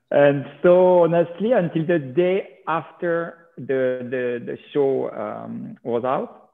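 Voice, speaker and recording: A man with a French accent speaks with ordinary pitch variation. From France. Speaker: reality TV personality. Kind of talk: interview.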